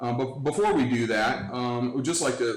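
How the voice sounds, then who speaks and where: A man with an American accent speaks at a medium pitch over noticeable background noise. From Cleveland, Ohio. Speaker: livestream talk show host. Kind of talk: casual interview. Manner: loud; halting.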